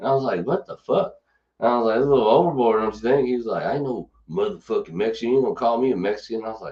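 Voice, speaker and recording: A man talks at a very fast pace with a Kentucky accent. His pitch varies in an ordinary way. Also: medium pitch for a man. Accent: Kentucky twang. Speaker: podcast host. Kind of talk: casual chat. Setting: studio.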